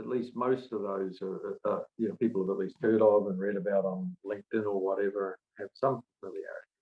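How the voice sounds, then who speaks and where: An unremarkable speaking voice from a man, fairly low in pitch, fairly quick, with ordinary pitch variation. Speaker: management consultant and author. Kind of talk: webinar presentation. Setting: online webinar.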